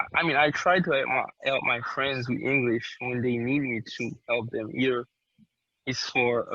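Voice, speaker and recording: A man with a Haitian accent talks at a moderate pace. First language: Haitian Creole. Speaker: interviewee. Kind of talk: interview. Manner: halting.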